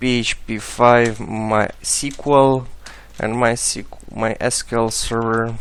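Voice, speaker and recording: Speaking at a very slow pace with a non-native accent, a man keeps a medium pitch and a monotone, flat intonation amid audible room echo. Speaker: software tutorial maker. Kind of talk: tutorial. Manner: halting, many filler sounds.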